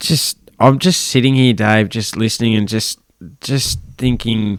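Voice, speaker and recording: The man's pitch sits in the medium range with ordinary variation. He speaks at a fairly slow pace. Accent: Australian. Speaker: podcast presenter. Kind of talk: interview questions.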